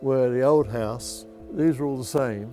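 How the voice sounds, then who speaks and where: A medium-pitched man's voice in an East London accent, with music in the background. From East End of London. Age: 80s+. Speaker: war survivor. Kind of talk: interview answer.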